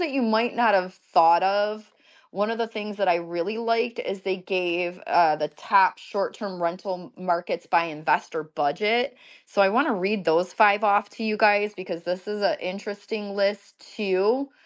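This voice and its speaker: A woman with a Michigan accent speaks at a moderate pace. Her medium pitch shows ordinary variation. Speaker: event host. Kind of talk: casual live online talk. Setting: online audio space.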